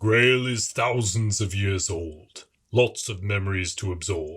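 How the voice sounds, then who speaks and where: In a put-on character voice that rumbles at a fairly low pitch, a man speaks at a fairly slow pace in a very clean recording with a silent background. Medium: read story. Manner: pompous, grumbling.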